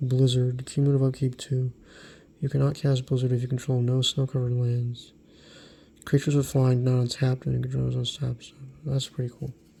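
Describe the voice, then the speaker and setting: Soft-spoken and somewhat breathy, the voice has a dark, mellow tone and monotone, flat intonation at a fairly quick pace, in a very clean recording with a silent background. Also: man, medium pitch for a man. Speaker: card collector YouTuber. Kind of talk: ASMR card review.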